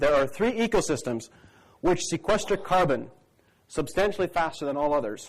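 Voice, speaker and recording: Lively intonation runs through the speech. The speaker is male. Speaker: crop consultant. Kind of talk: conference talk. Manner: fast.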